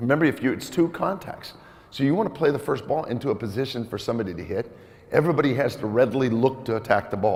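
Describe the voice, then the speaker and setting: This man speaks at a very fast pace in a medium pitch. His tone is animated and his intonation lively. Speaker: volleyball coach running a clinic. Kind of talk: coaching clinic presentation. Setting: gym clinic with audience, mic'd up. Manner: loud.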